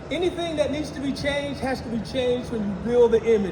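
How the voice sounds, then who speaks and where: An extremely high-pitched male voice amid noticeable background noise and audible room echo. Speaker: IT engineer presenting at a tech conference. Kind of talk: conference talk.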